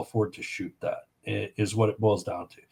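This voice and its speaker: A man with a Canadian prairie accent talks at a moderate pace, his voice somewhat breathy. The recording is very clean, with a silent background. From Saskatchewan, Canada. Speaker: firearms association director. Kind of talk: casual podcast chat.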